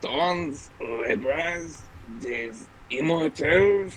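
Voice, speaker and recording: Over clear background noise, a man uses a put-on character voice at a fairly high pitch. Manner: exaggerated, spitting, caricatured.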